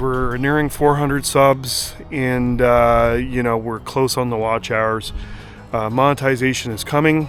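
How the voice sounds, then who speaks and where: A man speaks over noticeable background noise. There is audible echo in the room. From Canada. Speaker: car YouTuber. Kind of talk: casual vlog talk to camera. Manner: casual, many filler words.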